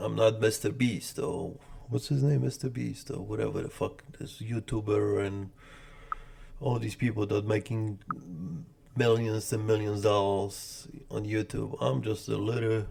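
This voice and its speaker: In a Polish accent, a man speaks fairly slowly, his fairly low pitch carrying a dark, mellow tone and ordinary pitch variation. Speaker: day trader streamer. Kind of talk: live trading commentary. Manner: casual, repetitive.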